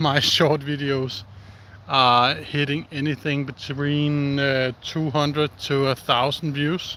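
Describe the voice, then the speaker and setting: In a Danish accent, a man speaks at a very slow pace with a fairly high pitch and monotone, flat intonation against noticeable background noise. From Denmark. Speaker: outdoor live streamer. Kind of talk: casual live stream chat. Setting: outdoors. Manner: halting.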